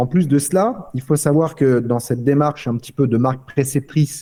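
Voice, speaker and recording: Here a man talks at a fairly quick pace with a medium pitch and ordinary pitch variation. His tone is dark and mellow. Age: 30s. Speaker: company founder. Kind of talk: podcast interview. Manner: halting.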